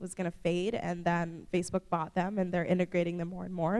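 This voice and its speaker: Her voice sits at a medium pitch for a woman and carries vocal fry. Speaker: conference keynote speaker. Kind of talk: keynote presentation. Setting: conference stage with audience. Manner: fast; casual, filler-heavy.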